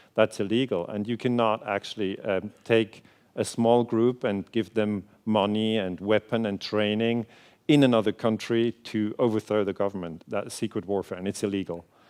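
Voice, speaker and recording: A man speaks with a Swiss German accent. His intonation stays fairly even. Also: fairly low pitch for a man, moderate pace. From Switzerland. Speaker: historian. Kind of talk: lecture. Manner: hesitant, many fillers.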